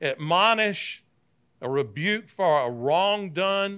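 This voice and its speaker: A man with a Southern US accent projects a raised voice, bright and sharp in tone, high in pitch and swinging very widely. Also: very clean recording, silent background. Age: 60s. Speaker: Bible teacher, former pastor. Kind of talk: Bible class lecture. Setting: church classroom with live audience. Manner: conversational, with frequent fillers and restarts.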